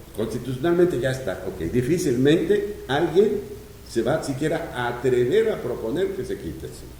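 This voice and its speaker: A man at medium pitch speaks with very wide pitch swings and big swings in loudness. Audible room echo and noticeable background noise fill the recording. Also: moderate pace. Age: 70s. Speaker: economist and former public official. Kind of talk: interview. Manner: halting.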